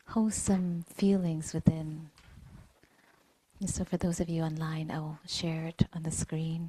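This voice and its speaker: In a dry, close sound with no echo, a woman speaks somewhat breathily at a fairly low pitch, with a dark, mellow tone and a monotone, flat intonation. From Vietnamese heritage, grew up in Vietnamese Buddhist temples. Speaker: meditation teacher. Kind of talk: dharma talk. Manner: hesitant, many fillers.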